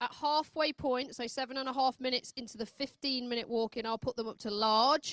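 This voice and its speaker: A loud, high-pitched woman's voice at a fairly quick pace with hardly any pauses and fairly even intonation, dry and close with no echo. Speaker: ring manager at dog agility show. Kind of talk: announcement to handlers. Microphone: no microphone.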